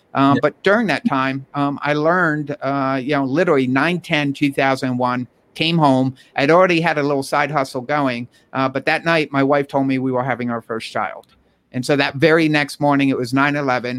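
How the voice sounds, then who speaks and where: A man with a New York accent on a very clean recording, the background silent. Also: fairly high pitch for a man, fairly even intonation, moderate pace. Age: 40s. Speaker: entrepreneur and author. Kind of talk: casual interview.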